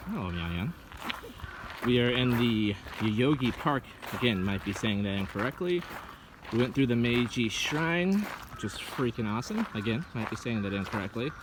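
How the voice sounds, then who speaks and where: A man at medium pitch with ordinary pitch variation, moderate pace, long, frequent pauses and noticeable background noise. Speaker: travel vlogger. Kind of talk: casual travel vlog narration. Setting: outdoors in a park.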